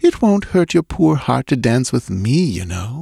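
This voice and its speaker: A man does a put-on character voice at a medium pitch with very wide pitch swings and a moderate pace, on a very clean recording with a silent background. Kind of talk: old-fashioned, polite. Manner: laughing, playful, teasing.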